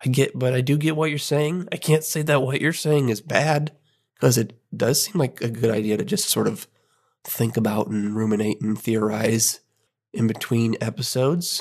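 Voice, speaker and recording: A plain, everyday voice from a man, medium in pitch, with lively intonation at a moderate pace. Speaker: podcast host. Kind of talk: casual chat.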